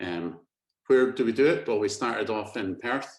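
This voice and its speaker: Ordinary pitch variation at a moderate pace. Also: man. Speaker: company managing director. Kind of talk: webinar presentation.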